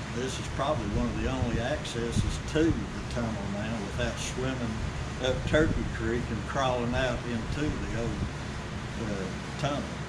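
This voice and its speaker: Against loud background noise, a man speaks at a moderate pace with long, frequent pauses. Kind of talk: interview answer. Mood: enthusiastic storytelling. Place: shop. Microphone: camera far.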